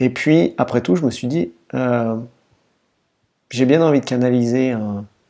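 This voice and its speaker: Ordinary pitch movement in a male voice of dark, mellow tone. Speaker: energy healer and meditation guide. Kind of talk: casual talk to camera. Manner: conversational, friendly.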